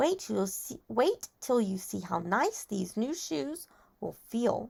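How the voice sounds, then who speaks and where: A woman puts on a character voice at a fairly high pitch, moving through very wide pitch swings at a fairly slow pace. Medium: read story. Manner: friendly.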